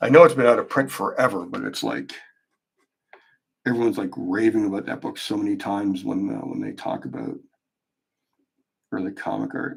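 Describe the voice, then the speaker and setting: A man speaks with big swings in loudness. His speech has long, frequent pauses. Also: fairly quick pace. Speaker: artist live-streaming a drawing. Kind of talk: casual live stream chat while drawing. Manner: mumbling to himself; hesitant, many fillers.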